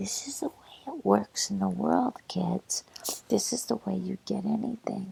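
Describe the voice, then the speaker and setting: The speaker whispers, soft-spoken and very slow. Noticeable background noise can be heard. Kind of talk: religious commentary, talking to listener. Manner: softly whispered.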